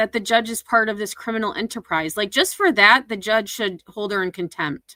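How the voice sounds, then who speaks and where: In an American accent, a woman talks at a fairly quick pace in a fairly high pitch with a bright, sharp tone and ordinary pitch variation, the sound dry and close with no echo. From upstate New York, US Northeast. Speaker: commentary YouTuber. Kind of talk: livestream commentary reacting to clips. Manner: casual, conversational.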